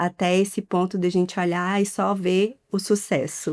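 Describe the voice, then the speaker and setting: In a Minas Gerais accent, a woman speaks at a fairly slow pace on a very clean recording with a silent background. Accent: mineiro. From Minas Gerais, Brazil. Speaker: podcast host. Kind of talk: interview.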